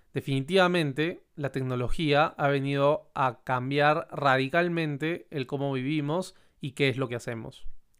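Speaking fairly slowly with hardly any pauses, a man uses a plain, everyday voice that is fairly high-pitched, with fairly even intonation. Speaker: podcast host. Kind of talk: podcast monologue.

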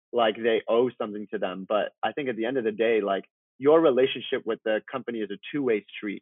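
A man with a Canadian accent and a normal speaking voice talks at a fairly quick pace, at medium pitch with ordinary pitch variation. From Vancouver, Canada (born in Iran). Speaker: talent manager. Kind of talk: interview conversation.

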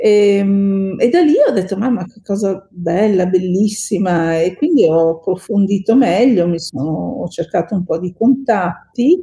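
A woman with an ordinary speaking voice, medium in pitch, with ordinary pitch variation, at a fairly slow pace. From northern Italy, Veneto (Bassano del Grappa, Vicenza). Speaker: lawyer and open-water swimmer. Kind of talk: podcast interview.

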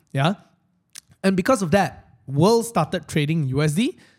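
The speaker has a Malaysian accent and lively intonation. The pace is fairly slow. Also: man. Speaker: finance live stream host. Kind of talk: casual chat. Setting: live stream studio.

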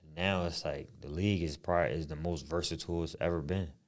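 The recording is very clean with a silent background, and the speech moves at a fairly quick pace with fairly even intonation. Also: man. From Harrisburg, Pennsylvania, US. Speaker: podcast co-host, former basketball player. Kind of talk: casual chat.

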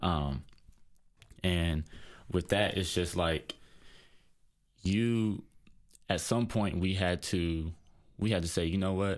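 Very slow, quiet speech with long, frequent pauses and very even loudness on a very clean recording with a silent background. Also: man, very deep, low pitch for a man, fairly even intonation. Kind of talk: casual discussion, opinion monologue. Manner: quiet in person but talks passionately.

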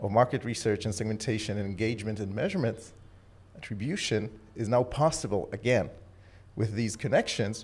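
The pace is moderate. There is a somewhat breathy quality to the voice. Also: man. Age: 30s. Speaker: tech startup founder. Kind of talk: interview. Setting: studio.

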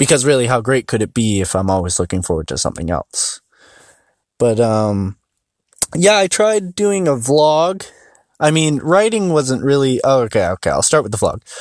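A man speaks at a medium pitch and a moderate pace, his pitch swinging very widely. The sound is dry and close, with no echo. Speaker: solo podcaster. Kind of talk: casual monologue. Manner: halting, many pauses and fillers.

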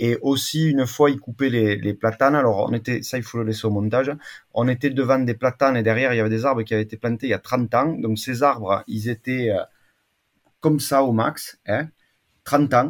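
In a very clean recording with a silent background, a man talks at a fairly quick pace and medium pitch with a southern French accent. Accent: singsong southern French. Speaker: agroclimatologist. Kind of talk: interview.

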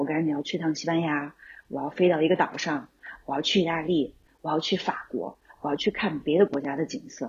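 A somewhat breathy woman with a fairly low pitch speaks at a moderate pace. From Xi'an, China. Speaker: camper van travel enthusiast, German teacher. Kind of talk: casual interview.

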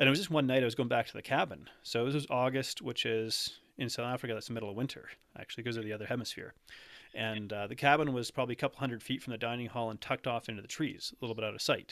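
Talking at a very fast pace in a Canadian accent, the speaker keeps fairly even intonation on a very clean recording with a silent background. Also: man, medium pitch for a man. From Canada. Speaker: nutrition coach. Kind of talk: casual interview chat.

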